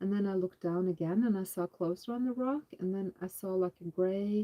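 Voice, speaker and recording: At a moderate pace, a woman talks in an ordinary speaking voice. Her pitch is medium, with ordinary pitch variation. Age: 50s. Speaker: homesteading channel co-host. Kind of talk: spiritual testimony of visions; casual live chat.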